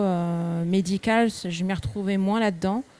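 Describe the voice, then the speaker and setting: A woman's dark, mellow tone sits at a medium pitch, her intonation fairly even. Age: 30s. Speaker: shop owner, entrepreneur. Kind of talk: personal career talk to students. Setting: live event with audience, microphone.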